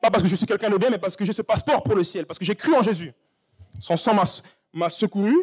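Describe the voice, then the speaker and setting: A man's high-pitched voice with very wide swings in pitch. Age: 30s. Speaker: preacher. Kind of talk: sermon. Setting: church. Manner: animated.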